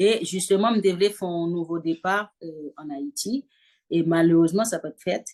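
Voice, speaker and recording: A woman speaks at a moderate pace in a plain, everyday voice, with ordinary pitch variation and big swings in loudness. The sound is dry and close, with no echo. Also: fairly low pitch for a woman. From Haiti. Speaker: fashion designer and singer. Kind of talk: interview answer. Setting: home video call with background noise.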